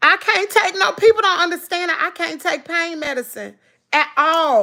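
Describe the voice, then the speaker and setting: An animated woman's voice, extremely high-pitched, bright and sharp, raised and projected, at a moderate pace. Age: 40s. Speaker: lifestyle vlogger. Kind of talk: live stream chat.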